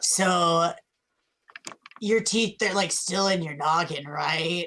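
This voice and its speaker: A put-on character voice, raspy and at a middle pitch. It moves at a very slow pace. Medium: actual play. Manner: casual slangy, says bruh and buddy.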